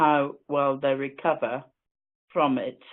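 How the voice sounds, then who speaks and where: A woman with an Irish accent, a very deep, low pitch and a very slow pace. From Ireland. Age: 60s. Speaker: webinar speaker with an eye condition. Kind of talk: personal talk.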